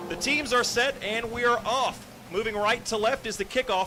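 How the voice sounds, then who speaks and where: A man's raised, projected voice, extremely high in pitch, with fairly even intonation at a moderate pace, over noticeable background noise. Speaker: radio play-by-play announcer. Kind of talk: live sports commentary. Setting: radio broadcast booth. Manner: loud.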